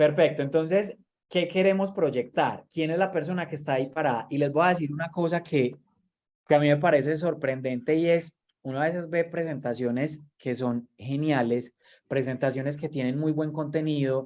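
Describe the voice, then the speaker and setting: A man talks at a moderate pace in an ordinary speaking voice, fairly high in pitch with fairly even intonation. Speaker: workshop trainer. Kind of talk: online training lecture.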